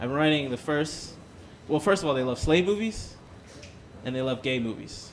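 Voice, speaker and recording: With an animated tone, a man speaks in a fairly high pitch. Room echo is audible. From Los Angeles, US. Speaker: stand-up comedian. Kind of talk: stand-up with crowd work. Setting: stage with live audience.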